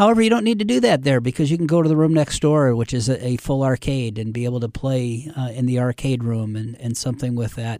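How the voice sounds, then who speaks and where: A man with a slight Midwestern accent speaks at a very fast pace with hardly any pauses. His medium-pitched voice has a dark, mellow tone and ordinary pitch variation. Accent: slight Midwest American. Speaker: nonprofit CEO. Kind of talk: casual interview. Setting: studio.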